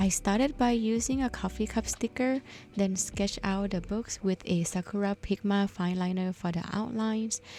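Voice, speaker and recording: Somewhat breathy, a woman speaks with a non-native accent and a dark, mellow tone. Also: medium pitch for a woman, moderate pace. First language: not English. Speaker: bullet journal YouTuber. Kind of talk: voiceover tutorial. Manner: friendly, upbeat.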